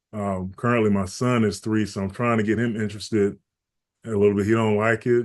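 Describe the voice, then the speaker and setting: Talking at a fairly quick pace with a Georgia accent, a man keeps his fairly low voice monotone and flat. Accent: Southern US (Georgia). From US South, Augusta, Georgia. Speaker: basketball and fitness trainer. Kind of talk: podcast interview, casual life story.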